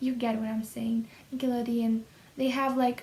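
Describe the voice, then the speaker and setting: A high-pitched woman's voice with fairly even intonation. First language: Russian. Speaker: YouTuber, language learner. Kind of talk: casual vlog talk. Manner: hesitant, with fillers.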